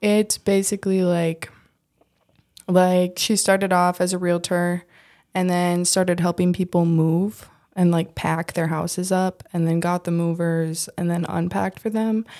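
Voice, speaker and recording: In a very clean recording with a silent background, a woman with an Upper Midwest accent speaks fairly slowly at a fairly low pitch, her tone dark and mellow, her intonation flat and monotone. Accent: Upper Midwest American. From US Midwest, Minnesota. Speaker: restaurant worker. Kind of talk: casual interview. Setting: studio. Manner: soft-spoken.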